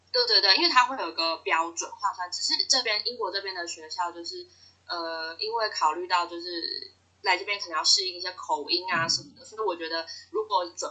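A woman speaks at a moderate pace in a Taiwanese accent. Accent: Taiwanese Mandarin. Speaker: graduate student abroad. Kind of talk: interview.

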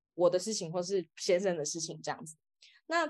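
A woman's plain, everyday voice at a moderate pace, with a quiet background. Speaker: author. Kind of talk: interview.

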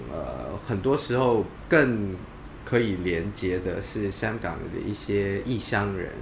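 A man speaks at a very slow pace with a fairly low pitch and very wide pitch swings. Noticeable background noise runs under the recording. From Malaysia. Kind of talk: interview.

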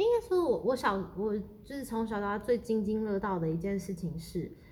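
Audible room echo and noticeable background noise surround a woman whose medium pitch carries an animated tone and lively intonation. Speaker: podcast co-host. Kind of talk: casual chat.

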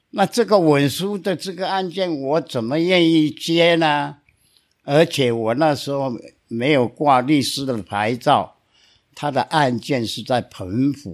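On a very clean recording with a silent background, a man with a fairly high voice speaks very slowly, his intonation lively. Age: 80s+. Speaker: lawyer. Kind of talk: storytelling.

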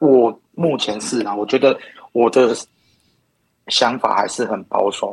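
Long pauses come often as a man talks very slowly. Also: medium pitch for a man, ordinary pitch variation. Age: 30s. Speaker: podcast guest interviewee. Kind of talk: casual chat.

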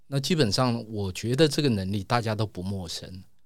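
His pitch moves in an ordinary way. The voice belongs to a man. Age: 50s. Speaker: comic artist. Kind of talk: interview. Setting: studio. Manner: slow, deliberate; reserved, quiet.

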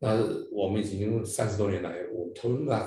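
In a room with audible echo, a man speaks fairly quickly at a fairly low pitch, his tone dark, mellow and somewhat breathy, his intonation fairly even. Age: 60s. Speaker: district governor of a service club. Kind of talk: interview.

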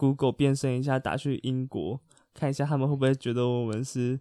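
In a very clean recording with a silent background and a dry, close sound with no echo, a man with a medium pitch and a dark, mellow tone speaks at a fairly quick pace in a monotone, flat way. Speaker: podcast co-host. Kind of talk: casual chat.

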